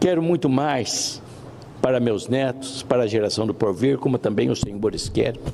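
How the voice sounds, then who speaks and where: A man with a medium pitch speaks with lively intonation amid noticeable background noise. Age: 70s. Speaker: senator. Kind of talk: formal speech. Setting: senate plenary session.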